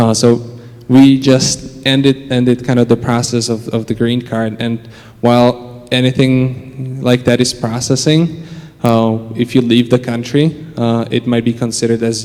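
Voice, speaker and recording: Noticeable background noise sits under a man's medium-pitched voice. He speaks fairly slowly, with monotone, flat intonation. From Czech Republic. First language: Czech. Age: 20s. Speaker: church member interviewee. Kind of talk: interview. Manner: hesitant, many fillers.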